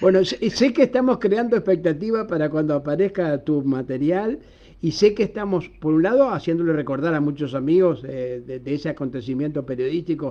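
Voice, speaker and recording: A man's fairly high, dark and mellow voice with lively intonation at a moderate pace. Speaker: radio journalist and host. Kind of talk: casual interview chat.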